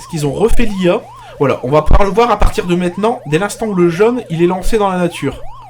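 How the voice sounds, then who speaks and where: A man speaks in a high voice, with noticeable background noise behind him. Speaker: streamer / arcade show host. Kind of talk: live stream commentary while playing. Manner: loud, projecting voice; casual, with hesitations. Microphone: pop filter too far from mic.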